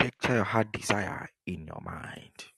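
A man whispers at a very slow pace. The sound is dry and close, without any echo. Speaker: pastor. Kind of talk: sermon and fervent prayer. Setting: online broadcast with remote audience. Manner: animated, urgent, repetitive exhortation; commanding, fervent prayer.

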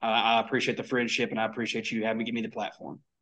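A man talks very fast with an East Tennessee accent. His pitch sits in the medium range. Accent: Southern US (East Tennessee). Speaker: conservative columnist and county party chairman. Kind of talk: political interview.

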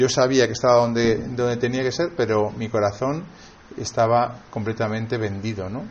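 Speaking with a Spanish accent, a man talks at a moderate pace and medium pitch, with ordinary pitch variation and audible room echo. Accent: Peninsular Spanish. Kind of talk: sermon. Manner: halting.

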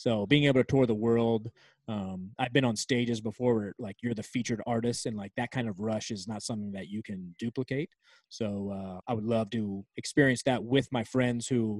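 An unremarkable speaking voice from a man with an American accent, medium in pitch with fairly even intonation at a moderate pace, in a dry, close sound with no echo. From Virginia, near Washington D.C. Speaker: sports arena DJ and music producer. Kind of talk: casual interview.

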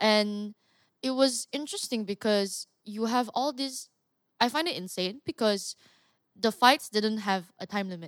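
A woman speaks in an ordinary speaking voice, fairly high in pitch, at a fairly slow pace. Her pitch varies in an ordinary way, and the sound is dry and close with no echo. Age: 20s. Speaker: mixed martial artist. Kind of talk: casual chat.

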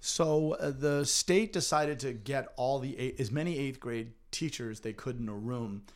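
Speaking at a fairly slow pace, a man with an American accent has an unremarkable speaking voice, a medium pitch and ordinary pitch variation. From Massachusetts, North Andover. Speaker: middle school teacher. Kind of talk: podcast interview.

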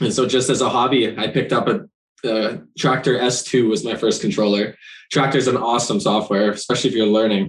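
Using an ordinary speaking voice, a man with a Canadian accent talks at a fairly quick pace and medium pitch, with ordinary pitch variation and very even loudness. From Ontario, Canada (Brampton). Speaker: DJ. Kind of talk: casual interview chat.

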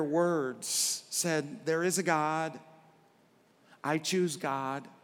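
A man speaks with an American accent. His voice sits fairly high in pitch. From Arkansas, US South. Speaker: pastor. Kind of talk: sermon. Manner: animated.

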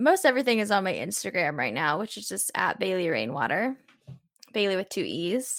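Speaking at a fairly quick pace with an American accent, a woman of medium pitch uses vocal fry and very wide pitch swings. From US Midwest, Southern Illinois. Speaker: singer-songwriter. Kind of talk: interview conversation.

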